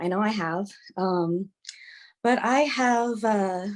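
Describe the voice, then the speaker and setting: With an American accent, a woman speaks at a medium pitch with ordinary pitch variation. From California, Long Beach. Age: 30s. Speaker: restaurant server interviewee. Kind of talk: interview. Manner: halting, many fillers and repetitions.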